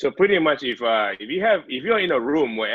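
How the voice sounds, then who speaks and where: A man talks at a fairly quick pace. He has a non-native accent. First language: not English. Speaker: IT and cybersecurity professional. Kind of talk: podcast interview.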